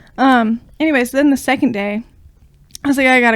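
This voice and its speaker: Her intonation fairly even, a woman with an American accent speaks at a moderate pace. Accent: slight southern-sounding. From Ohio. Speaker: podcast co-host. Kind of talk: casual chat.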